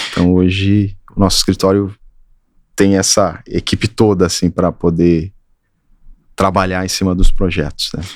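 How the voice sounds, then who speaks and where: Slow and flat, a man with a very deep, low pitch speaks in a monotone with long, frequent pauses. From Brazil, Triângulo Mineiro, Minas Gerais. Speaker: architect. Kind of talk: interview.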